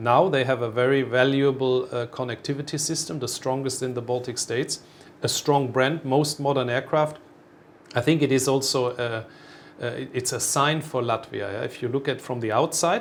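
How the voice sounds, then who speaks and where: This man has a German accent. His intonation stays fairly even. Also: medium pitch for a man, moderate pace. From Germany. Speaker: airline executive. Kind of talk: interview. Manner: halting.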